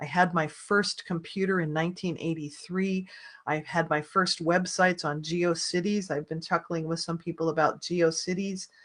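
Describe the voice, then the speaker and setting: A woman talks with hardly any pauses. Her intonation is monotone and flat. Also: fairly low pitch for a woman, moderate pace. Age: 60s. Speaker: online business course creator. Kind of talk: webinar sales pitch. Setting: live online group video.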